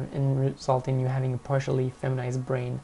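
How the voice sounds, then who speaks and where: Someone talks at a fairly quick pace with a French accent. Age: 20s. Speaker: vlogger. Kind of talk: casual Q&A monologue.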